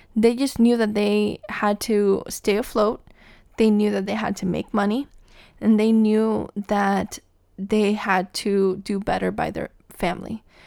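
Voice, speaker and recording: A woman speaks at a fairly slow pace in a dark, mellow tone, her intonation monotone and flat. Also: medium pitch for a woman. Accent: American. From Cuba, raised in the US from age six. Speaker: podcast host. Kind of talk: solo podcast monologue.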